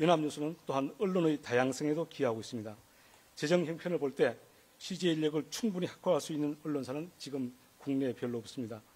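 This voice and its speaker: A man rattles along at a very fast pace in a fairly high pitch, with ordinary pitch variation. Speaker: journalist running for news agency CEO. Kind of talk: policy presentation speech. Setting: hall with live audience. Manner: formal.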